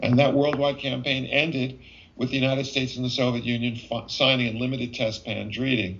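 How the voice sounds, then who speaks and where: A man with an American accent talks at a fairly quick pace, his medium pitch held in a monotone, flat intonation. Noticeable background noise runs underneath. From US Northeast, New York City. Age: 70s. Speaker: physician and UFO investigator. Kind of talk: interview. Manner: halting with frequent fillers.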